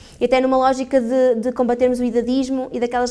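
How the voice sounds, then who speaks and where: Very fast and monotone, a woman speaks at a high pitch with flat intonation. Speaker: gerontologist and lecturer. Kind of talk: conference talk. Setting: hall with audience.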